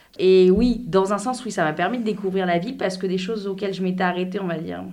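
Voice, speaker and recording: A woman at medium pitch, fairly quick in pace, with fairly even intonation and audible room echo. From France. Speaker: French expat in a binational couple. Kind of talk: interview.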